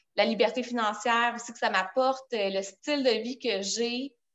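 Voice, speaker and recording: A woman with a Quebec accent, fairly high in pitch, at a fairly slow pace with fairly even intonation. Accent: Québécois French. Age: 30s. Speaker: direct sales director. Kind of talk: casual interview.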